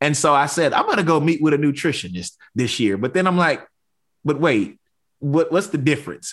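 Over a quiet background, a man with an American accent speaks fairly quickly in an animated tone, with lively intonation and vocal fry. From rural East Texas. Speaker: podcast host, university housing administrator. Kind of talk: podcast interview.

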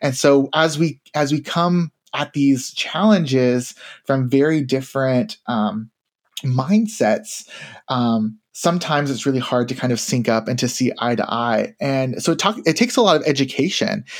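On a very clean recording with a silent background, a man with an American accent talks at a moderate pace in a fairly high pitch with lively intonation. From Tennessee, US South. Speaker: university diversity administrator. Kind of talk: interview conversation. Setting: studio. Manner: halting.

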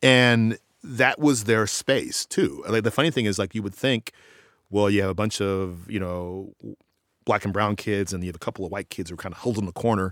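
An unremarkable speaking voice with an American accent and ordinary pitch variation goes at a fairly quick pace, dry and close with no echo on a very clean recording with a silent background. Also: man. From Austin, Texas. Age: 40s. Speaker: professor of education. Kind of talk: interview.

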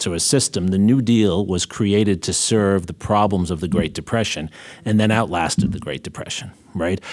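On a very clean recording with a silent background, a man with an American accent speaks in a very deep, low pitch with ordinary pitch variation. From New York. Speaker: podcast host, history professor. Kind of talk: interview discussion.

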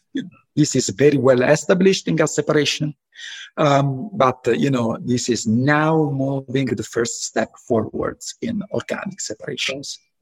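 Heard dry and close with no echo, a man speaks at a moderate pace in a fairly high, somewhat breathy voice with lively intonation. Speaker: professor. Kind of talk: interview.

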